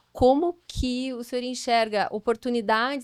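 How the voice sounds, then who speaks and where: In a very clean recording with a silent background and a dry, close sound with no echo, a woman speaks fairly slowly at a fairly high pitch with fairly even intonation. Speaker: audience member asking a question. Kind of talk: audience question. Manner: soft-spoken.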